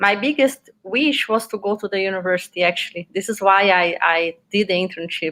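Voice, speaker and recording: Speaking at a fairly quick pace in a Portuguese accent, a woman uses a medium pitch, ordinary pitch variation and a bright, sharp tone. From Brazil, Minas Gerais. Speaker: PhD student, veterinary researcher. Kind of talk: interview.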